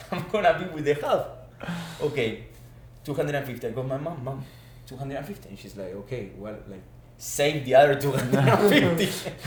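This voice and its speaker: Fairly quick speech over noticeable background noise, with audible room echo. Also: man. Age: 20s. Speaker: former student athlete, business manager. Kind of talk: casual chat.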